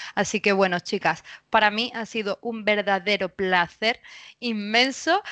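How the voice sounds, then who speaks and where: A woman with a medium-pitched voice talks at a fairly slow pace with fairly even intonation. The sound is dry and close with no echo, over a quiet background. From Spain. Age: 30s. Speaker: spiritual coach. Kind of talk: casual interview. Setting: remote recording.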